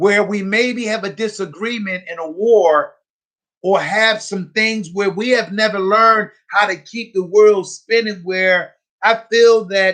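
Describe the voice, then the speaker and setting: The tone is bright and sharp. Delivery is fairly slow, with fairly even intonation. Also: man, high pitch for a man. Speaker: radio host. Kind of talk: live radio broadcast talk. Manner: earnest, rambling.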